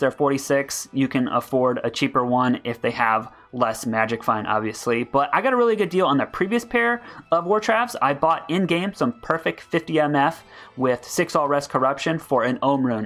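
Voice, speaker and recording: A man at a fairly quick pace with lively intonation, faint music in the background. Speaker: gaming YouTuber; streamer. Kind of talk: game build guide. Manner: fast. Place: home room. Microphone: headset.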